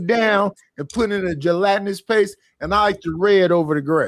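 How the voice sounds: A man's high voice in a Southern US accent, fairly quick, with ordinary pitch variation. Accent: Southern country twang.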